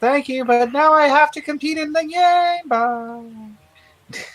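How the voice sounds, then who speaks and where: This is a put-on character voice with a high pitch. It moves at a fairly slow pace. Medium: actual play. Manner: eager.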